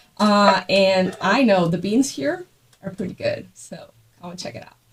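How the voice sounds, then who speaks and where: A woman speaks somewhat breathily at a fairly slow pace with lively intonation. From Guatemala. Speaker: podcast host. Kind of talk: casual chat. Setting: coffee shop.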